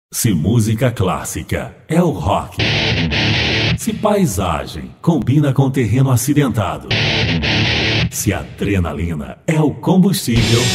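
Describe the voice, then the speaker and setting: Audible room echo follows a very slow delivery full of long, frequent pauses and very wide pitch swings. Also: man. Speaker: voice actor. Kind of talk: radio commercial read. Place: booth.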